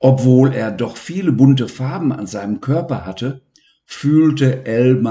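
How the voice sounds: The clip has a natural reading voice with ordinary pitch variation against a quiet background.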